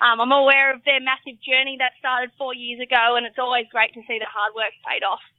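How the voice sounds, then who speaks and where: This woman has a high-pitched voice and an Australian accent. Her intonation stays monotone and flat while her loudness swings widely. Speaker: rugby league player. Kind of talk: interview. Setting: remote call.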